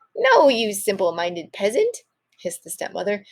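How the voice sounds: A natural reading voice sounds out over quiet surroundings.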